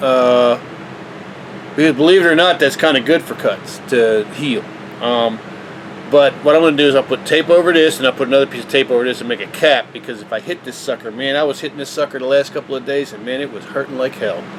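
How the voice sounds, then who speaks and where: Amid noticeable background noise, a man speaks at a very fast pace in a fairly high pitch, his loudness swinging widely and his pitch varying in an ordinary way. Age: 60s. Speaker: vlogger. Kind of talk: casual tutorial. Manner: casual, halting.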